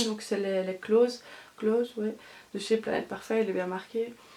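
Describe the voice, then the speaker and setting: A woman with a fairly high pitch and fairly even intonation, over noticeable background noise. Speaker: beauty vlogger. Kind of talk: product review vlog. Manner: halting, many fillers.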